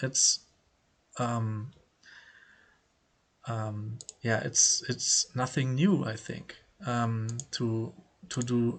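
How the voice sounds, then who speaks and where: A man with a German accent speaks in a somewhat breathy voice. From Germany. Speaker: poker player. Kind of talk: casual vlog commentary. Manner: halting, many filler words.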